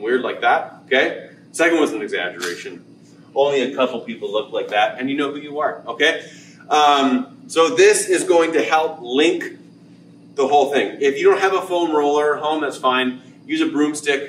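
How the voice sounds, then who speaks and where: Over light background noise and audible room echo, a man talks at a moderate pace. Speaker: fitness coach. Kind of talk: tutorial. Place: gym. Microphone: camera far.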